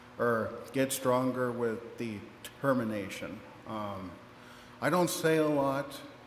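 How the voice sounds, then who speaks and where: Spoken at a very slow pace with an American accent, the voice shows ordinary pitch variation over noticeable background noise and audible room echo. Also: man, medium pitch for a man. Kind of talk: public speech. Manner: halting.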